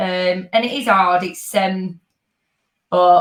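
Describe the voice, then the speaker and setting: A woman with a Yorkshire accent. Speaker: dance fitness instructor. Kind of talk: casual chat.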